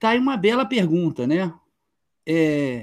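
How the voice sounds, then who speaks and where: Very slowly, a man speaks in a high pitch. The recording is very clean, with a silent background. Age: 60s. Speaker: author and literature teacher. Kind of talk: interview.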